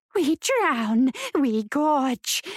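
A woman puts on a character voice, pitched high and delivered at a very slow pace with big pitch swings, in a very clean recording with a silent background and a dry, close sound with no echo.

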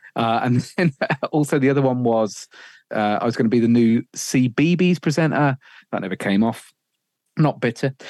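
A man with a Birmingham accent at a moderate pace, with long, frequent pauses, in a very clean recording with a silent background and a dry, close sound without echo. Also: medium pitch for a man, ordinary pitch variation. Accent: Birmingham-area English. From English Midlands, Sutton Coldfield. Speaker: radio presenter. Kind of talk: casual interview chat.

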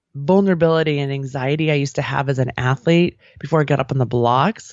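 The speaker talks at a fairly quick pace in an American accent. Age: 40s. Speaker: life coach and podcast host. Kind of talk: interview conversation. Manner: animated.

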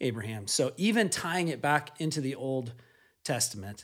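A man with a plain, everyday voice, medium pitch, ordinary pitch variation and moderate pace. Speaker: podcast host. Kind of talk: casual chat.

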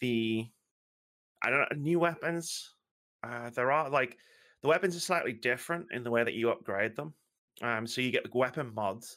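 Over a silent background in a very clean recording, a woman with a British accent speaks at a moderate pace in a very deep, low voice, leaving long, frequent pauses. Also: ordinary pitch variation. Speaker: guest co-host. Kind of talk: casual chat.

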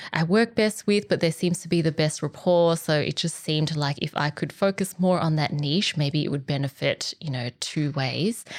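A woman speaks with an Australian accent. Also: very clean recording, silent background. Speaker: organizational psychologist. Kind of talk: casual interview.

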